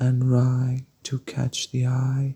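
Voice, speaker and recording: A man speaks at a very slow pace in a medium pitch, his voice dry and close with no echo. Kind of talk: poetry reading. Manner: soft-spoken, slow.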